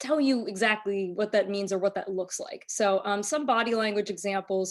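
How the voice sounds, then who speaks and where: A woman talks at a fairly quick pace in an ordinary speaking voice, with ordinary pitch variation. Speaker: trainer. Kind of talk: lecture.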